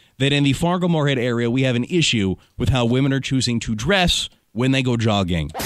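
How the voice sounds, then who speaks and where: A man talks at a fairly quick pace in a normal speaking voice. His loudness stays very even. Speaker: radio morning show host. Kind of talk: radio host banter and call-in moderation. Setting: radio broadcast.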